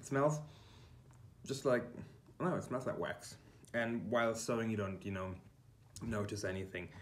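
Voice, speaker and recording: A man speaks with long, frequent pauses in a room with audible echo. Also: medium pitch for a man, ordinary pitch variation, moderate pace. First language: German. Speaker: quilting YouTuber. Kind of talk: tutorial. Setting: kitchen. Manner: halting, many fillers. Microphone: poor room acoustics.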